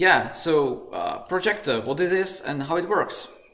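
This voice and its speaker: This is a man speaking with a Czech accent. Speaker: conference moderator. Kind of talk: Q&A moderation. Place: home room. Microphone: studio mic.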